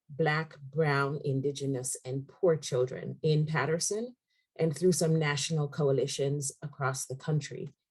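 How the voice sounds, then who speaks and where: A woman's very deep, low, somewhat breathy voice with an American accent, a fairly slow pace and fairly even intonation. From outside the United States. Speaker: executive director of a community education nonprofit. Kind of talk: panel webinar introduction.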